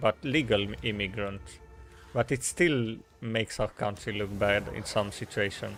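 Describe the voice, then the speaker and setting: With a Romanian accent, a man speaks using ordinary pitch variation. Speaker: video game streamer. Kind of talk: casual live-stream chat. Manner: halting, with many fillers and restarts.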